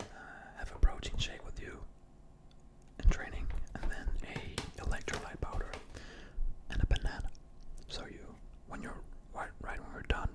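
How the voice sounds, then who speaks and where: A man whispers with big swings in loudness and long, frequent pauses over noticeable background noise. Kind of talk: ASMR role-play, gym bro supplement shop advice. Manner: casual, explanatory, hesitant with filler words.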